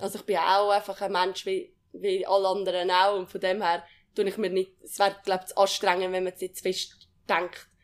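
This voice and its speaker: A woman speaks at a moderate pace with monotone, flat intonation. Her loudness swings widely. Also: medium pitch for a woman. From Switzerland, Uri (Andermatt). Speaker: alpine ski racer. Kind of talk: casual interview. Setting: training centre.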